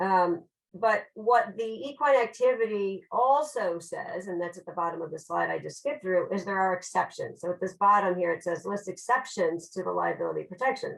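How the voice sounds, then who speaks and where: A woman with an American accent at a medium pitch, hardly any pauses, and big swings in loudness. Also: ordinary pitch variation. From Chicago, US Midwest. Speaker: lawyer. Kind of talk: webinar lecture. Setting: online webinar. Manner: fast.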